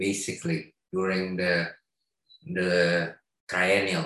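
Here a man talks with an Indonesian accent. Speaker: artist collective member. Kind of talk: presentation. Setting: video call.

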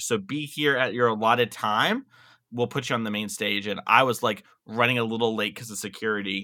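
A man in an ordinary speaking voice talks at a fairly quick pace with a medium pitch and fairly even intonation. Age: 20s. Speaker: competitive card game player. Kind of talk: casual chat.

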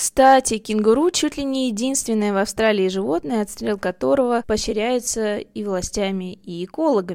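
A woman's ordinary speaking voice, fairly high in pitch and lively in intonation, at a moderate pace with hardly any pauses, on a very clean recording with a silent background. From Russia. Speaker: podcast host. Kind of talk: scripted narration.

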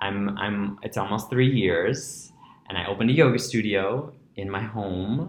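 A man's fairly low, somewhat breathy voice at a fairly slow pace, with ordinary pitch variation and audible room echo. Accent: American. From New York City (Breezy Point, Queens). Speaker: yoga teacher. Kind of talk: casual interview. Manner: animated.

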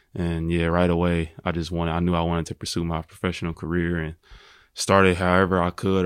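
A man speaks very fast with an American accent, his pitch very deep and low. His intonation is flat and monotone, and the recording is very clean with a silent background. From Indianapolis, US Midwest. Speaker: professional basketball player. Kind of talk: interview.

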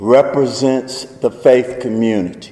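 A man speaks in a strong Southern US accent at a fairly slow pace. Noticeable background noise can be heard. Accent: deepest Southern drawl. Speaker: faith advocacy speaker. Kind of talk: public speech. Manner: slow-paced normally, speeding up here.

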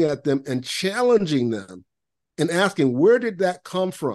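A man with an American accent speaks at a fairly slow pace, his pitch swinging very widely against a quiet background. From Central Florida (Lakeland). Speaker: productivity consultant and author. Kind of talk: podcast interview.

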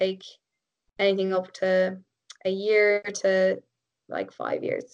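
A woman with an Irish accent speaks very slowly at a medium pitch. Her intonation stays monotone and flat. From Ireland. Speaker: biomedical engineer and triathlete. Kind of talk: casual interview chat. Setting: remote call.

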